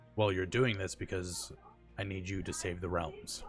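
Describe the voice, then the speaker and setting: Someone performs a put-on character voice. Clear music plays in the background. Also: man, very deep, low pitch for a man, moderate pace. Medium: actual play. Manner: calm, stoic.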